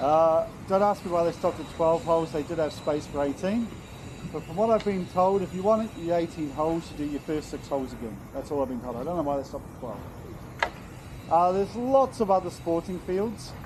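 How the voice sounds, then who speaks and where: Noticeable background noise surrounds a man speaking loudly at a fairly quick pace. His voice is high in pitch, with lively intonation. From New Zealand then Wales. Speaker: punt tour guide. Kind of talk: guided tour commentary. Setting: outdoors on a river punt. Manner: fast.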